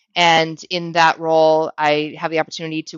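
A woman talks with a very deep, low pitch, keeping a moderate pace. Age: 40s. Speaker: sales team leader and career coach. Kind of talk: interview conversation.

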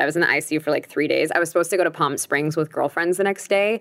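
A woman speaks with an American accent and a very deep, low pitch. Her intonation stays fairly even. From Long Beach, California. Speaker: breakup coach and recovering alcoholic. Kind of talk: casual interview.

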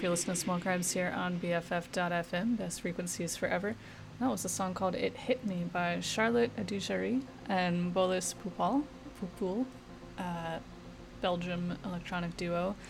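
This woman has a plain, everyday voice, pitched fairly low. She talks at a moderate pace with ordinary pitch variation. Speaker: radio DJ. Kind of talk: radio DJ patter between songs, announcing tracks and artists. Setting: radio studio broadcast. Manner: casual, laid-back, filler-heavy with frequent 'uh' and self-corrections.

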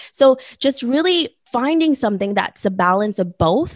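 The sound is dry and close with no echo, carrying an unremarkable speaking voice at a moderate pace with lively intonation. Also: woman. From born in the Philippines, raised in the US. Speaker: podcaster and entrepreneur, former documentary photographer. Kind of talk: interview.

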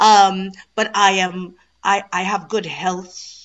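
A woman talks at medium pitch in a Trinidadian accent. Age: 40s. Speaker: stage and TV actress. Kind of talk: interview. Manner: energetic.

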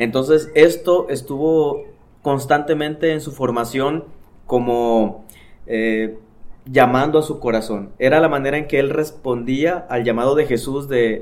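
A man speaks in a fairly high pitch at a fairly slow pace. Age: 30s. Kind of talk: casual chat. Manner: animated.

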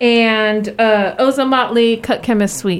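A woman with an ordinary speaking voice, fairly high in pitch, with fairly even intonation. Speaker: radio host. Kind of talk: casual radio hosting. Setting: radio studio. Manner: friendly, warm, giggly.

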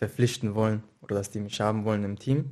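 A man's medium-pitched voice against a quiet background. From Mainz, Germany. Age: 20s. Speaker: professional footballer. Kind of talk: casual interview.

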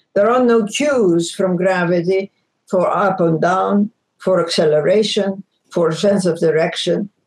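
The speaker talks at a very slow pace with a Greek accent. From Egypt, Greek ancestry. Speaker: former space agency scientist and author. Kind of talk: interview.

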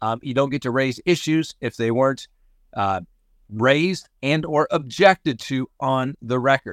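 With an American accent, a man has an ordinary speaking voice at a medium pitch and moderate pace, with ordinary pitch variation, in a very clean recording with a silent background and a dry, close sound with no echo. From Colorado. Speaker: crime podcast host. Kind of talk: news commentary. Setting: on a cruise ship trip.

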